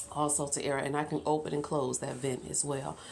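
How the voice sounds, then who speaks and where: Over noticeable background noise, a woman talks in a very deep, low pitch with monotone, flat intonation. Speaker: gardening vlogger. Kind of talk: casual video tour. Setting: backyard greenhouse. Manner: hesitant, with many fillers.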